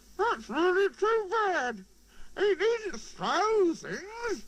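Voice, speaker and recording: A put-on character voice, squeaky and extremely high-pitched, at a very slow pace. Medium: read story. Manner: earnest, easily flustered.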